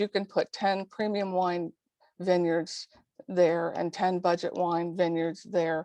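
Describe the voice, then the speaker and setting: Dry and close with no echo, a woman's dark, mellow voice moves at a fairly slow pace in a monotone, flat intonation. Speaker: leadership development coach and consultant. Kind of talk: webinar presentation.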